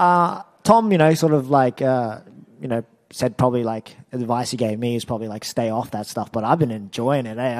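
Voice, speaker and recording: A man with an Australian accent, talking fairly quickly against a quiet background. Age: 20s. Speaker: mixed martial arts fighter. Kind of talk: media interview. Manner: halting. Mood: relaxed, friendly, smiling. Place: hall. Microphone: handheld.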